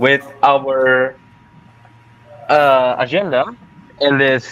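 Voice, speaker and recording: This is a man speaking. His pitch is fairly high. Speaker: student show host. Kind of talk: casual interview. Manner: slow.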